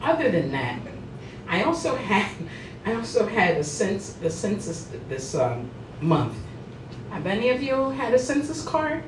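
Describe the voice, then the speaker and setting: Very wide pitch swings from a woman with an American accent, over noticeable background noise. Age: 60s. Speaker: stand-up comedian. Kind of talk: stand-up comedy set at a club. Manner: comedic, conversational.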